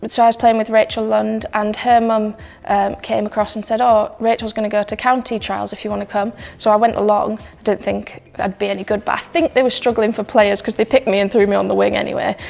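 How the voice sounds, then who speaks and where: Music is playing in the background. Over it, a woman speaks very fast. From northern England, Yorkshire. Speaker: rugby player. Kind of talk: personal story interview. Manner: casual, hesitant with many ums.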